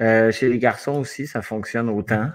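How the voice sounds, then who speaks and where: Music plays behind a man with a Quebec accent. He has a fairly low pitch and keeps a moderate pace. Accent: Québécois French. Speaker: comedian. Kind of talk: live comedy chat. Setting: video call live stream.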